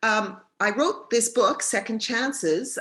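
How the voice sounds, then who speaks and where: A woman speaks in a bright, sharp tone with a Canadian accent. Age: 70s. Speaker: author and retired teacher librarian. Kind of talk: presentation at a club meeting. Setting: club lunch meeting. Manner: halting.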